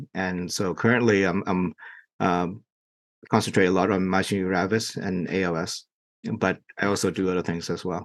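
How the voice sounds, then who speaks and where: A man with a Vietnamese accent and a very deep, low pitch, in monotone, flat intonation at a moderate pace against a quiet background. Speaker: neurologist. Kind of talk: interview. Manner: halting, many fillers.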